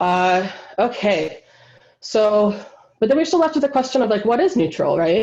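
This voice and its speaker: A woman speaks with a Wisconsin accent. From US Midwest, Wisconsin. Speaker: linguistic anthropologist. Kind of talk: lecture. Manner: casual, many fillers.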